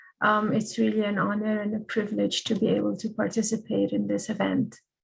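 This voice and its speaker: A moderate pace and a non-native accent. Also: woman. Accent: noticeable foreign. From Egypt (Cairo). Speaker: language policy advocate. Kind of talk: panel presentation. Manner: hesitant, many fillers.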